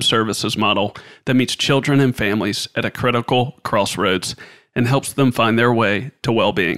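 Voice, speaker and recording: The sound is dry and close with no echo, carrying an unremarkable speaking voice with ordinary pitch variation at a moderate pace. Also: man. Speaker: podcast host. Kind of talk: interview.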